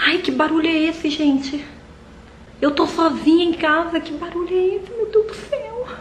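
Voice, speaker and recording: Ordinary pitch variation at a moderate pace, with light background noise. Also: woman, extremely high pitch for a woman. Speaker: mom vlogger. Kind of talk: casual vlog chat. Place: kitchen. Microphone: phone near.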